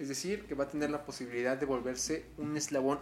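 A man speaks at a medium pitch with ordinary pitch variation and a central Mexican accent. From Mexico, Puebla. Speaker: podcast host. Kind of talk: casual solo monologue. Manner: hesitant, many fillers.

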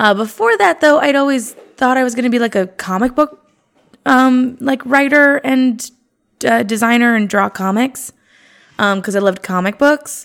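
Here a woman speaks with a high pitch and ordinary pitch variation. Her pace is moderate. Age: 30s. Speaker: stand-up comedian. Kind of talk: casual chat.

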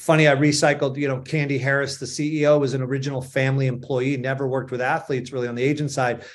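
A very fast, flat monotone in a Boston accent with hardly any pauses and audible room echo. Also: man, fairly high pitch for a man. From Boston, Massachusetts. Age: 50s. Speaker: sports agency founder. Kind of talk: interview. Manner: halting.

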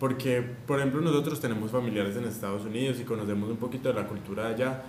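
Noticeable background noise and audible room echo accompany a man speaking at medium pitch with fairly even intonation. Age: 20s. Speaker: podcast co-host, university student. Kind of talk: casual chat.

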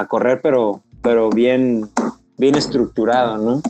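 This man's voice sits at a medium pitch, and his pace is fairly slow. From Mexico, Veracruz (Pánuco). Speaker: ultramarathon runner. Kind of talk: casual interview.

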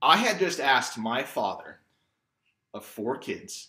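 Bright and sharp in tone, a male voice speaks with an American accent. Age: 30s. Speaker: storyteller. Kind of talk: personal storytelling.

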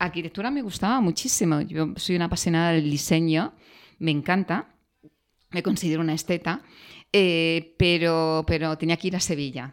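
At a moderate pace and fairly low pitch, a woman with a normal speaking voice talks with ordinary pitch variation in a very clean recording over a silent background. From Andalusia, near Granada. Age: 50s. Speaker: executive. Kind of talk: interview.

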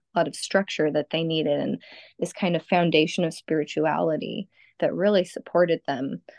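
A woman with an American accent speaks at a fairly quick pace in a fairly low pitch, with vocal fry, ordinary pitch variation, and a dry, close sound with no echo. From Southern California. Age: 30s. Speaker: energy healer. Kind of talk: casual chat.

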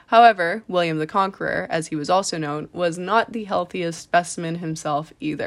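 Here is a woman with a plain, everyday voice and a Canadian accent, pitched fairly low with ordinary variation. She speaks at a moderate pace on a very clean recording with a silent background. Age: 20s. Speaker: podcast host and fashion model. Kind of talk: solo podcast monologue.

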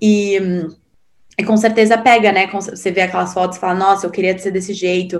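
Monotone, flat intonation at a moderate pace. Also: woman, medium pitch for a woman. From Brazil, São Paulo. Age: 20s. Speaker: podcast guest sharing personal story. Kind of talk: casual interview.

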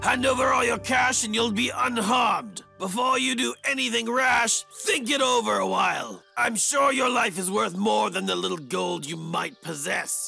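A man raises and projects his high-pitched voice. He keeps a moderate pace over faint background music. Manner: menacing, arrogant.

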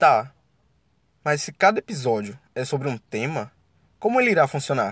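Animated in tone, a man speaks at a fairly high pitch with very wide pitch swings and long, frequent pauses at a moderate pace. The recording is very clean, with a silent background. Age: 20s. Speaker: podcast host, law student. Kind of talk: solo podcast introduction.

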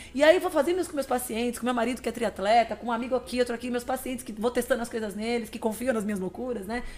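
Over noticeable background noise, a woman talks at a very fast pace and high pitch with hardly any pauses and ordinary pitch variation. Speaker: nutritionist and athlete. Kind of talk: interview conversation.

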